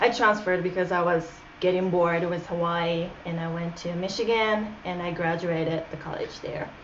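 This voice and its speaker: A woman with a Japanese accent speaks in a fairly low voice at a moderate pace, her intonation fairly even. Audible room echo and noticeable background noise surround her. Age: 20s. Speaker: interview guest. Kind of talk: casual interview.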